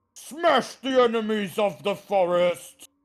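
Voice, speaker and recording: A put-on character voice with a fairly high pitch moves at a fairly slow pace in a very clean recording with a silent background. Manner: rallying, fierce.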